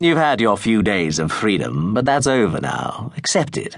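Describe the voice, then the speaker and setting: A man in a put-on character voice, medium pitch with very wide pitch swings, at a moderate pace. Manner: menacing.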